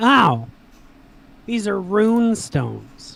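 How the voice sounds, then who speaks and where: A put-on character voice comes out nasal and at a fairly high pitch. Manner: annoying.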